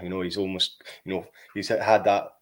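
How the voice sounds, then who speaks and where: The speaker talks at a fairly quick pace. The recording is very clean, with a silent background. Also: man. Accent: Scottish. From Scotland. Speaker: podcaster, cold water swimming guide. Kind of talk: casual interview chat. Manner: fast.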